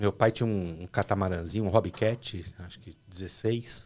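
A man's ordinary speaking voice, fairly low in pitch, with fairly even intonation. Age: 40s. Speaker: fishing captain; podcast guest. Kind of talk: casual chat. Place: studio. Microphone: studio mic.

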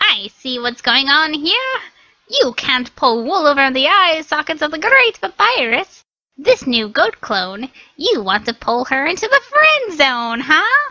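A loud, high-pitched put-on character voice swoops through very wide pitch swings at a fairly slow pace. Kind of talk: comic overacting. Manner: loud, excitable, boastful.

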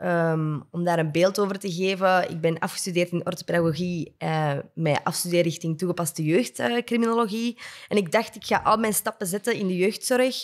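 With hardly any pauses, a woman talks at a moderate pace and fairly low pitch, using ordinary pitch variation against a quiet background. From Flanders, Belgium. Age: 20s. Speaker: podcast co-host. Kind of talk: casual interview. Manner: enthusiastic. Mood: cheerful, animated. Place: studio. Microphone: studio mic.

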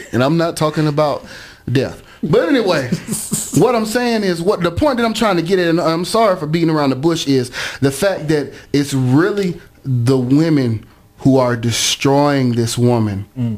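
A man with an American accent speaks at a moderate pace, his pitch fairly high. His voice swings widely in pitch over noticeable background noise. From Clayton County, Georgia (south Atlanta). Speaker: college radio co-host. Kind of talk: casual radio talk show chat.

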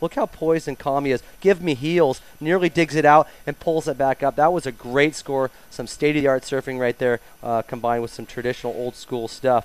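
Sounding animated and enthusiastic, a man speaks in a fairly high voice with ordinary pitch variation, recorded dry and close with no echo. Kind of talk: live sports commentary over surfing highlight clips. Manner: animated, excitable, enthusiastic play-by-play with surf slang; casual, improvised, with fillers and self-corrections.

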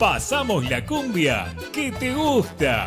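A man talks very slowly while music plays in the background. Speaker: radio announcer. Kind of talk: radio station promo.

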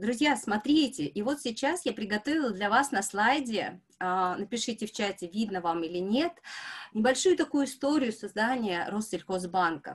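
A somewhat breathy woman, fairly high-pitched, at a moderate pace with lively intonation against a quiet background. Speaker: bank HR specialist. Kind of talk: online presentation. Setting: video call. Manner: animated.

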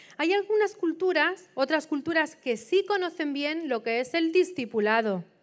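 A woman is speaking. Her intonation is lively. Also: very clean recording, silent background. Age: 50s. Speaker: missionary preacher. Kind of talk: sermon.

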